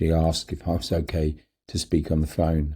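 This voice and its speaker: Speaking at a moderate pace with a London accent, a man has a very deep, low pitch, a dark, mellow tone and a somewhat breathy quality, on a very clean recording with a silent background. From London, England. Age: 70s. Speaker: cancer survivor telling his story. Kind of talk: personal memoir narration.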